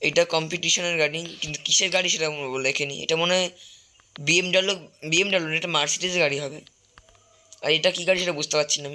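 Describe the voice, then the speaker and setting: A man speaks at a high pitch with monotone, flat intonation. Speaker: gaming YouTuber. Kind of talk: gameplay commentary. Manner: halting.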